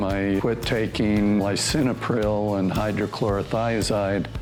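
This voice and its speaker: The speech is very slow, with monotone, flat intonation. Music plays in the background, and there is audible room echo. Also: man. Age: 60s. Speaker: patient giving testimonial. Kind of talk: testimony. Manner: hesitant, with fillers.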